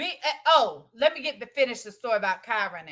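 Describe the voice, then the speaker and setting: Her voice raised and projected, a woman speaks at a moderate pace in a bright, sharp, animated tone with lively intonation. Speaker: live streamer. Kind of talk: casual livestream chat. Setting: at home, livestream. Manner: loud.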